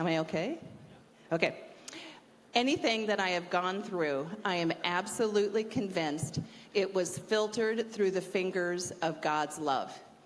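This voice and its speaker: A woman speaks at a moderate pace and medium pitch, with ordinary pitch variation, very even loudness and audible room echo. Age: 60s. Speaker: university staff member speaking at chapel. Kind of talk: chapel talk, personal testimony.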